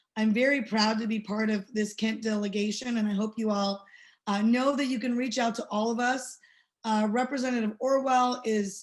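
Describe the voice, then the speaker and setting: Against a quiet background, a woman with a fairly high pitch speaks at a moderate pace in a somewhat breathy voice. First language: not English. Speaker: state legislator. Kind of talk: panel remarks. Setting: webinar. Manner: many fillers and false starts.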